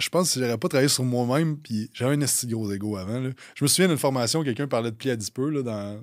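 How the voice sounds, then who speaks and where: In a Quebec accent, a man speaks at a very fast pace with ordinary pitch variation. The recording is very clean, the background silent. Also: medium pitch for a man. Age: 30s. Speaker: fitness coaching business owner. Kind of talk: casual chat.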